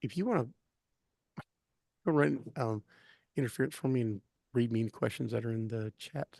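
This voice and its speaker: A man mumbles at a medium pitch and a fairly quick pace, with long, frequent pauses and lively intonation. His tone is dark and mellow, and the sound is dry and close with no echo. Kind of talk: casual chat. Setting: live stream. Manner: mumbling. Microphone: too quiet.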